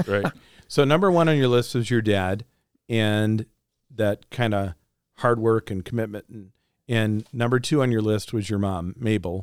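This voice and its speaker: In a very clean recording with a silent background and a dry, close sound with no echo, a man speaks at a moderate pace and medium pitch with ordinary pitch variation and long, frequent pauses. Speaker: pastor, podcast host. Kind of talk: interview.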